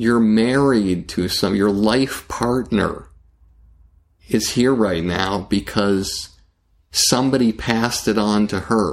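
The man's voice is fairly low, with ordinary pitch variation. He talks at a very slow pace, and the recording is very clean with a silent background. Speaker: talent manager and producer. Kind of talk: interview conversation. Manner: deliberate pauses in delivery.

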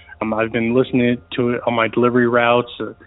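With an American accent, a man of medium pitch speaks at a fairly quick pace against noticeable background noise. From US South (Georgia and Florida). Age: 30s. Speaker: caller. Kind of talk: recorded voicemail story.

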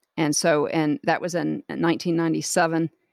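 Heard dry and close with no echo on a very clean recording with a silent background, a woman with an American accent speaks at a moderate pace in a very deep, low voice. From US South, Jacksonville, Florida. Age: 40s. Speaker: guest sharing life story. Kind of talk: testimony.

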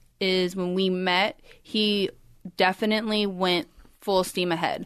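Using a plain, everyday voice, a woman speaks at a fairly slow pace with a medium pitch and fairly even intonation. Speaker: podcast co-host. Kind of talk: casual interview chat.

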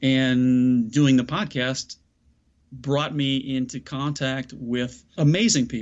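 Very slow speech from a man, his intonation fairly even. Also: medium pitch for a man. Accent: American. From US Midwest, south side of Chicago. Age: middle-aged. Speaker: mindset coach and speaker. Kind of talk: interview conversation.

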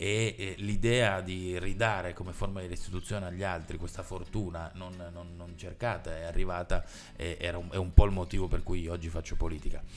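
A man with a very deep, low pitch speaks at a moderate pace, his intonation fairly even and his loudness swinging widely. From Turin, Italy. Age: 30s. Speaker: local politician. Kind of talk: podcast interview.

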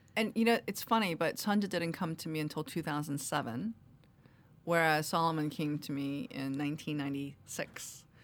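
In a New York accent, a woman speaks at a moderate pace with a very deep, low pitch and lively intonation. The recording is very clean, with a silent background. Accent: New York American. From US, Queens New York. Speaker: novelist. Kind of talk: interview. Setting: studio. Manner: formal.

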